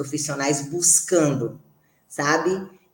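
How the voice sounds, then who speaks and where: Very slow speech from a woman, with audible room echo around it. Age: 40s. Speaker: podcast co-host, physical education professional. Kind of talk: casual chat.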